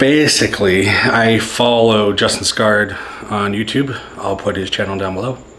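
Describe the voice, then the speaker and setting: Recorded with audible room echo and noticeable background noise, a man speaks at a fairly low pitch and a fairly slow pace with fairly even intonation. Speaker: maker and YouTuber. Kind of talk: casual vlog talk.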